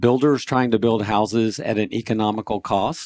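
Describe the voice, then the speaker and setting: In an unremarkable speaking voice, a man talks at a moderate pace with fairly even intonation and a fairly low pitch, on a very clean recording with a silent background and a dry, close sound with no echo. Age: 60s. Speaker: pest control business owner and state senate candidate. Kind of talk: radio interview.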